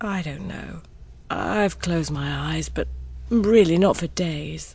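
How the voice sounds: A put-on character voice moves at a slow pace with vocal fry. The tone is slightly mellow, and the pitch varies in an ordinary way. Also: woman, low pitch for a woman.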